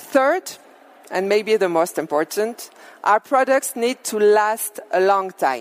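A woman with a French accent speaks at a very slow pace with lively intonation. The sound is dry and close with no echo, and there is noticeable background noise. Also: fairly high pitch for a woman. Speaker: business executive. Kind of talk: keynote speech.

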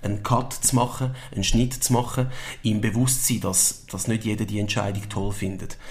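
Fairly low in pitch and somewhat breathy, a man talks at a fairly quick pace. Audible room echo surrounds his voice. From Switzerland. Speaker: football coach, former pro footballer. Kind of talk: interview. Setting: club premises.

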